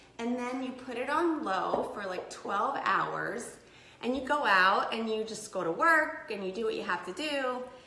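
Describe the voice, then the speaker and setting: Over noticeable background noise and audible room echo, a woman speaks at a high pitch with lively intonation and a fairly slow pace. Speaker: health and detox coach. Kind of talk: live cooking tutorial. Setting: live video in her kitchen. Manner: casual, chatty.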